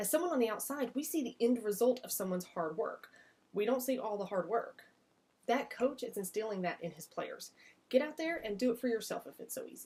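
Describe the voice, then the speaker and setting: A woman with a Southern US accent talks fairly quickly at a high pitch with lively intonation. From US South. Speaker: massage business coach. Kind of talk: vlog-style business advice talk. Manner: casual, conversational.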